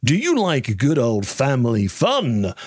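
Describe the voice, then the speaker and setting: A man's put-on character voice, medium in pitch, upbeat in tone, with lively intonation at a fairly slow pace. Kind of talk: announcer voice. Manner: booming and upbeat.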